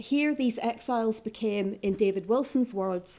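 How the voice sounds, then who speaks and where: A woman with a Northern Irish accent and a dark, mellow tone, at a moderate pace with ordinary pitch variation, on a very clean recording with a silent background. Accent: Northern Irish (Ulster). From Northern Ireland, County Down. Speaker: academic historian. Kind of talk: conference paper presentation. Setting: conference room with audience.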